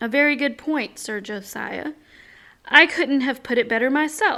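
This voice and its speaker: In a put-on character voice, a woman speaks with a raspy, high pitch, ordinary pitch variation and a moderate pace. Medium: read story. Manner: calm, measured.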